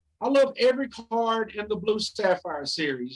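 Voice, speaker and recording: A man with a high pitch and a Southern US accent. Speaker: card collector. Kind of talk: interview answer. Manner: rhythmic, enthusiastic.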